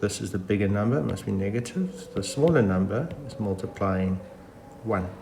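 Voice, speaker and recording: A man's voice carries audible room echo. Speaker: math teacher. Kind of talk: tutorial. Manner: casual with fillers.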